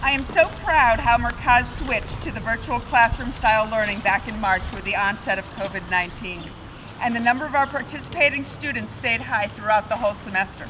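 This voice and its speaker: With noticeable background noise behind her, a woman speaks at a fairly quick pace in a fairly high pitch with ordinary pitch variation. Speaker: board president. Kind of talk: ceremony speech.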